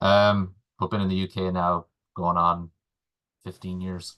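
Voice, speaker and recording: Against a quiet background, a man with an Irish accent has a very deep, low pitch and a bright, sharp tone. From Ireland, Galway. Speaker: supermarket agriculture manager. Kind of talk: webinar presentation. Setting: webinar.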